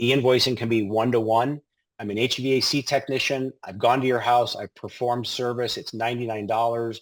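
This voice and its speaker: Speaking fairly quickly with an American accent, a man keeps his medium-pitched voice monotone and flat. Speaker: payment technology product presenter. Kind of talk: webinar product demo. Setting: online webinar. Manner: fast; casual, filler-heavy.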